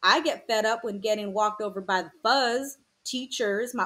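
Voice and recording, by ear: The recording is quiet behind the voice. It's a natural voice reading a text aloud.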